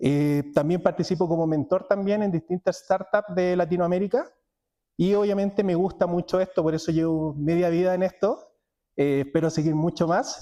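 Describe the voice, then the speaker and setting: A high-pitched man with a Chilean accent, a dark, mellow tone, ordinary pitch variation and very even loudness. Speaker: cloud technology speaker. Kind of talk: conference talk. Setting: stage with audience. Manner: fast.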